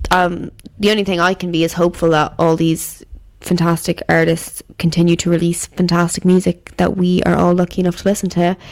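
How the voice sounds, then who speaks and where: A woman with an Irish accent speaks at a fairly quick pace, her fairly low voice flat and monotone. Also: very even loudness. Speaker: podcast host. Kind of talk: casual solo commentary.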